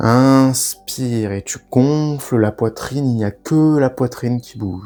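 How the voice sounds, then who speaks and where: A man speaks in a calm tone at a very slow pace. Music plays in the background. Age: 20s. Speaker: breathwork guide. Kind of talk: guided breathing meditation. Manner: calm, slow, instructive.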